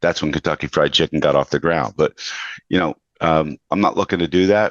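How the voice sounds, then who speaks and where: In an American accent, a man with a very deep, low voice and vocal fry talks at a fairly quick pace with ordinary pitch variation and very even loudness, the sound dry and close with no echo. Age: 60s. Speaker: podcast host. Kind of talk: interview conversation.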